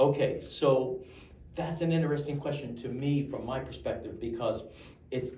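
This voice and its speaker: Somewhat breathy and dark, mellow in tone, the voice keeps fairly even intonation amid audible room echo. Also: man, fairly high pitch for a man, moderate pace. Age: 70s. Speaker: pest control business owner and consultant. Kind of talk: interview. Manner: repetitive, halting restarts.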